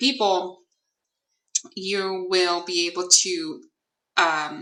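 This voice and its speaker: A woman's medium-pitched voice with a non-native accent, very slow in pace, with ordinary pitch variation. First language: not English. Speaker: psychic tarot reader. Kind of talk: tarot reading livestream. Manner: hesitant, many fillers.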